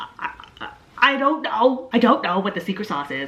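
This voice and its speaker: The woman's tone is animated, and noticeable background noise runs throughout. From Canada. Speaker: YouTuber. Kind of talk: Q&A vlog.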